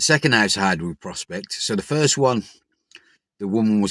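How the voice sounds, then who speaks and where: In a very clean recording with a silent background, a voice with a Birmingham accent moves at a fairly quick pace with ordinary pitch variation. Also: man. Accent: Birmingham (Brummie) English. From Birmingham, England. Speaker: recovering addict vlogger. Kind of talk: personal vlog monologue.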